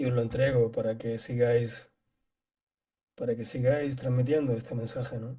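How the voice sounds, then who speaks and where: Somewhat breathy, with a dark, mellow tone, the voice moves at a moderate pace in a monotone, flat intonation, broken by long, frequent pauses. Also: man, medium pitch for a man. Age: 60s. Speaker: qigong teacher. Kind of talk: casual chat.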